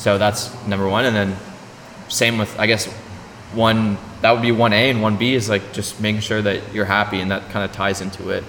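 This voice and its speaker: This man talks at a moderate pace with a fairly low pitch and a Canadian accent. His intonation is monotone and flat, and there's noticeable background noise. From Ontario, Canada (small town). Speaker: podcast host. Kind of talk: casual interview chat. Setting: arts centre venue.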